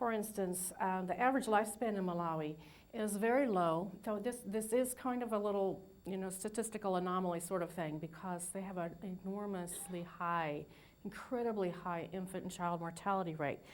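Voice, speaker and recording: With audible room echo around her, a woman speaks at a moderate pace in a medium-pitched voice with ordinary pitch variation. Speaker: nursing professor and registered nurse. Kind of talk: lecture. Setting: lecture hall with audience, PA system. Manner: halting, many fillers.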